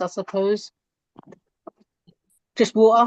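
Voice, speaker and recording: A woman speaks with a fairly high pitch at a fairly slow pace. Her intonation is monotone and flat, and the sound is dry and close with no echo. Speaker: host reading out audience questions.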